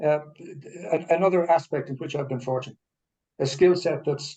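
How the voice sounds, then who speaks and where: A man speaks fairly quickly in a dark, mellow tone that is somewhat breathy. His intonation stays fairly even. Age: 70s. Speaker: retiree. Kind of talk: casual chat. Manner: halting.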